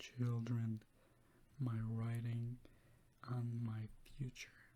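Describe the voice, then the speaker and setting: Soft-spoken and somewhat breathy, a man talks very slowly at a medium pitch. His tone is calm, dark and mellow. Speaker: clinical psychology grad student. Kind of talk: reading of a client's case testimonial. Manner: soft-spoken, calm.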